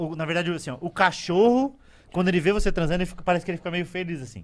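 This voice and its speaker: A man speaks in a high pitch with ordinary pitch variation. His tone is bright and sharp. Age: 30s. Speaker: comedian. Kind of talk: casual chat.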